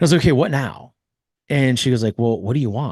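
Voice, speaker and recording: In a Californian accent, a man speaks in an animated tone, the sound dry and close with no echo over a quiet background. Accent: General American (Californian). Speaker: podcast host and mental performance coach. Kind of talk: interview storytelling.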